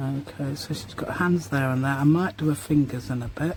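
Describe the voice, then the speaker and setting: The woman's pitch is very deep and low. She talks at a fairly slow pace. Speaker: junk journal artist. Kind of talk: casual craft tutorial talk. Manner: rambling, chatty.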